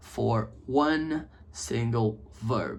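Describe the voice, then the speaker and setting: A man is speaking. He has a Brazilian accent. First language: Portuguese. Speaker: English teacher. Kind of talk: casual chat. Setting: home office video setup.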